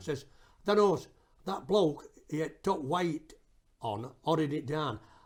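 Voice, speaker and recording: In a Yorkshire accent, a man speaks very slowly at a fairly high pitch. His intonation is lively. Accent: Barnsley Yorkshire dialect. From Barnsley, Yorkshire. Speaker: singer and film documentarian. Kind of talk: interview answer. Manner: casual, chatty.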